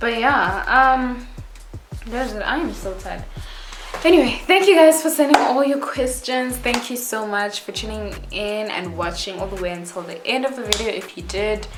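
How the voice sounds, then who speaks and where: Amid noticeable background noise and audible room echo, a woman with a Botswana accent speaks at a moderate pace in a high pitch, with lively intonation and big swings in loudness. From South Africa. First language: Setswana. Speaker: YouTuber. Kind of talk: casual vlog Q&A.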